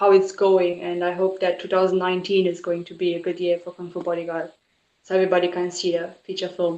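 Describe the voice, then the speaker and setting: Flat and monotone in intonation, a woman speaks with a non-native accent. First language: not English. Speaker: author and film producer. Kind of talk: casual interview chat.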